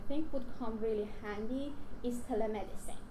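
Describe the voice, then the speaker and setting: In a Persian accent, a woman with a high voice talks at a moderate pace with ordinary pitch variation. Noticeable background noise and audible room echo are present. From Iran. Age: young. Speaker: research scientist. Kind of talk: conference talk. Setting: stage with audience. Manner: talkative.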